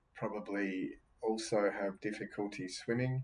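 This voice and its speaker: His pitch lies fairly low. The man talks with an Australian accent. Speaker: podcast host reading near-death experience accounts. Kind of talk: casual commentary. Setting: home, seated by a window. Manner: hesitant, many fillers.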